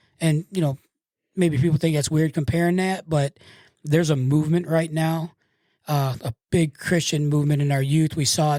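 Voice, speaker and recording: In an American accent, a man with a fairly high pitch and a dark, mellow tone speaks at a moderate pace in a monotone, flat intonation, the sound dry and close with no echo on a very clean recording with a silent background. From Michigan. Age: 60s. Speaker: tattoo artist and public speaker. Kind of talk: casual interview. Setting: studio.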